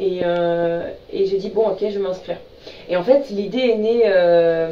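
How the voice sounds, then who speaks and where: A woman of medium pitch speaks very slowly with ordinary pitch variation and big swings in loudness. Room echo is audible, along with noticeable background noise. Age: 20s. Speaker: beauty pageant contestant. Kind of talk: radio interview. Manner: hesitant, many fillers.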